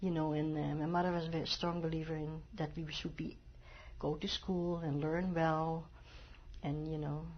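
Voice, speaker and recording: A woman at a moderate pace, with audible room echo. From Netherlands, Amsterdam. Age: 70s. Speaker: Holocaust survivor. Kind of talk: oral history interview. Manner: halting.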